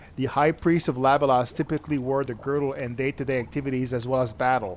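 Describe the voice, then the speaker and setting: A man with a Quebec accent, medium pitch, fairly even intonation and a fairly quick pace. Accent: French Canadian accent in English. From French Canada. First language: French. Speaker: video game streamer. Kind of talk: let's play commentary, reading game text aloud.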